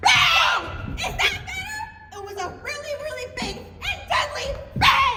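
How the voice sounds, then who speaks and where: A man shouts in a put-on character voice at an extremely high pitch. His pace is fairly slow. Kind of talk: comic stage acting. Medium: stage play. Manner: breathless, melodramatic.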